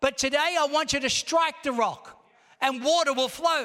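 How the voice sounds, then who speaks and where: Speaking at an extremely high pitch, a man uses a raised, projected voice. His tone is animated and his pace moderate. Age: 60s. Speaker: pastor. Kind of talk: sermon, rousing Pentecostal church preaching with call-and-response. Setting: church service with congregation. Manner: animated, exhorting the congregation with repeated calls for amen; conversational, punchy rhetorical questions.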